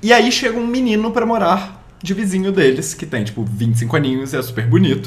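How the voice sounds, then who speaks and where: Barely pausing, a man talks at a fairly quick pace in a high pitch with very wide pitch swings. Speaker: advertising professional. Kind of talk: casual chat.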